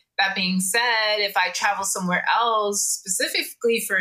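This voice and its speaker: A woman with an American accent speaks at a fairly slow pace. Her tone is bright and sharp, her intonation fairly even. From Jamaican American. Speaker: podcast co-host. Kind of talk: casual chat.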